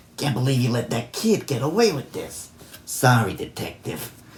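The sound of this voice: The put-on character voice comes with a New York accent and moves at a moderate pace. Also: man, medium pitch for a man.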